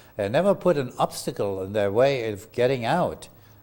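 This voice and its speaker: This man speaks at a medium pitch. His pitch swings very widely. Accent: German. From Germany. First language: German. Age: 80s+. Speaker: lawyer. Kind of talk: oral history interview. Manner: halting.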